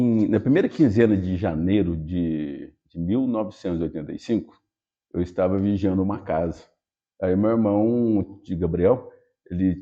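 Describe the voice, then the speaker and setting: This man's very deep, low voice carries ordinary pitch variation at a moderate pace. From Brazil, São Paulo state (Aparecida region). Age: 60s. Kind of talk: podcast interview. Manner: halting, repeats words.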